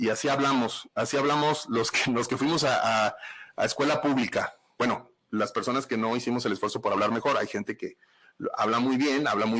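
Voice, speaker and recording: A man in a northern Mexican accent speaks at a fairly quick pace with a bright, sharp tone, medium pitch, fairly even intonation and very even loudness. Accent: northern Mexican Spanish (Sonora). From Mexico, Sonora (Nogales). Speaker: forensic psychologist. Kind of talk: podcast livestream talk. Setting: live stream. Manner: casual, blunt.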